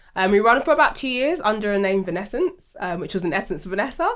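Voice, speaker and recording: A woman's medium-pitched voice at a very fast pace, with lively intonation. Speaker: reality TV contestant and business owner. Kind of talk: interview. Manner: chatty.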